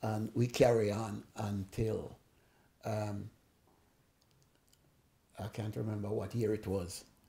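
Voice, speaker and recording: A man's dark, mellow, somewhat breathy voice at a medium pitch, delivered at a very slow pace. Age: 80s+. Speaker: sound system owner. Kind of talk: interview answer.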